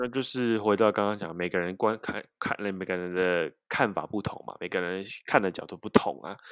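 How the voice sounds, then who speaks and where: Speaking at a moderate pace, a man keeps his fairly low voice on fairly even intonation. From southern Taiwan, Kaohsiung. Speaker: podcast co-host. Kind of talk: casual chat about video games.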